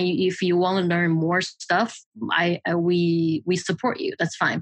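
With a Mandarin accent, a woman speaks at a moderate pace against a quiet background. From China, Shanghai. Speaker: film and trailer editor. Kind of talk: casual interview conversation. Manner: halting, with fillers.

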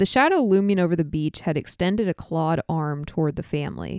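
Captured on a very clean recording, silent background, a normal speaking voice shows ordinary pitch variation. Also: woman, dry, close sound with no echo. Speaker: audiobook-style fiction narrator. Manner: slow, measured, suspenseful, hushed, with dread-laced pacing; calm and unhurried, quietly unnerved.

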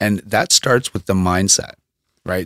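A man with a Canadian accent talks at a moderate pace in a fairly low pitch, an ordinary speaking voice. The sound is dry and close with no echo. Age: 40s. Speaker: former boxer and fitness coach. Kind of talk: casual interview conversation. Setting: studio.

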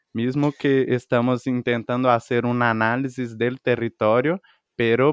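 Over a quiet background, a man speaks very slowly at a medium pitch, the sound dry and close with no echo. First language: Portuguese (speaking Spanish). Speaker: podcast co-host. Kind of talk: casual chat.

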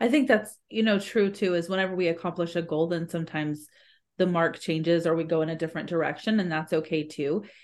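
A woman talks at a very fast pace with a fairly low pitch and ordinary pitch variation. The background is quiet. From Brazil. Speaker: podcast co-host and business owner. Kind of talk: casual chat.

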